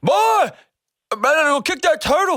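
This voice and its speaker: This is a put-on character voice with a Louisiana accent and a high pitch. The tone is excited. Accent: Cajun French. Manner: excited, shouting as he runs.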